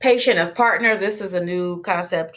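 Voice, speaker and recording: A woman speaks at a moderate pace with ordinary pitch variation. She has an ordinary speaking voice. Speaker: holistic medicine instructor. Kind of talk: lecture. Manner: casual, conversational.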